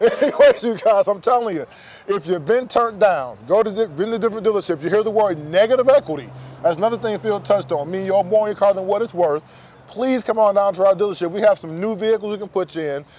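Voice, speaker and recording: Very fast speech from a man with a high pitch, in a dry sound with no echo. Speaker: car salesman. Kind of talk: infomercial pitch, dealership sales spiel. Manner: eager, fast, persuasive, reassuring. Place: street.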